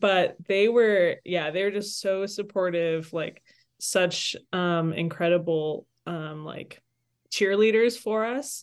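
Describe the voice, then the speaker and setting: A woman talks at a very slow pace. Her voice sits at medium pitch with ordinary variation. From Toronto, Canada; Salvadoran parents. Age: 30s. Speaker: campus minister and church leader. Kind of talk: interview conversation.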